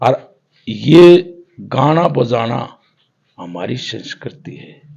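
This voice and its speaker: In a Haryana accent, a man with a medium pitch and a dark, mellow tone swings his pitch very widely, with vocal fry. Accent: Haryanvi. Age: 70s. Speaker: folk ragni singer. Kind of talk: interview.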